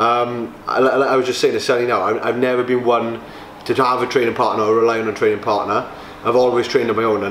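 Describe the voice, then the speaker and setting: A man talking at a very fast pace in a flat monotone, with audible room echo and light background noise. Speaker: bodybuilder vlogger. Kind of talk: casual vlog chat. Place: gym. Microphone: camera far.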